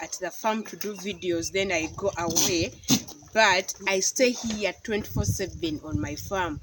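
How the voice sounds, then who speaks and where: Someone with a Ugandan accent speaks at a fairly slow pace over noticeable background noise. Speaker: goat farmer and vlogger. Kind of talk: casual vlog talk to camera. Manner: halting, repeats words.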